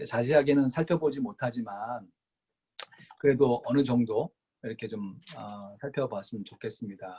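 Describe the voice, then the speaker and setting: A man speaks at a fairly slow pace in an ordinary speaking voice, his pitch sitting in the medium range. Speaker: pastor teaching Bible study. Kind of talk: lecture.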